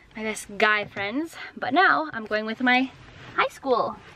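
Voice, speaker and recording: Amid noticeable background noise, a woman speaks at a very slow pace. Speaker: vlogger. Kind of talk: casual vlog chat. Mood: excited, cheerful. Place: car. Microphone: phone near.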